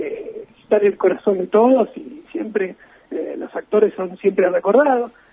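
A man at a moderate pace with big swings in loudness, amid noticeable background noise. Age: 30s. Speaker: film enthusiast. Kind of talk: radio interview. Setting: remote call from home.

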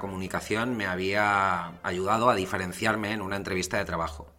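With a fairly low pitch and a moderate pace, a man talks amid audible room echo. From Valencia, Spain. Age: 40s. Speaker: communication coach. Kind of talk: lecture.

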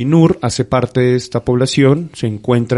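Speaking at a moderate pace, a man has a dark, mellow tone at a medium pitch with ordinary pitch variation. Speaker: radio host. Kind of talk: casual radio talk. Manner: halting, many fillers.

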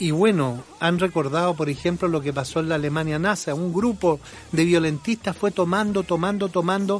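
Noticeable background noise surrounds a man talking. He speaks at a moderate pace with a high pitch. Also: ordinary pitch variation. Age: 60s. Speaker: opinion podcast host, journalist. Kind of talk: opinion monologue. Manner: animated.

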